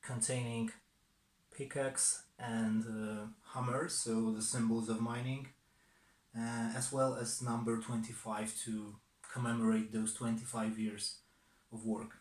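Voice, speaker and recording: A man with a Polish accent, medium pitch, monotone, flat intonation and a very slow pace. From southern Poland, Silesia. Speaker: watch collector. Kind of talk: personal story to camera. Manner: hesitant, many fillers.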